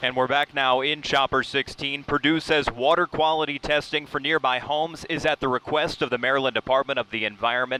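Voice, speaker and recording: Here a man has a plain, everyday voice, fairly high in pitch, moving at a fairly quick pace with fairly even intonation, hardly any pauses and very even loudness. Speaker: television news anchor and reporter. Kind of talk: field reporter package narration. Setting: TV news broadcast.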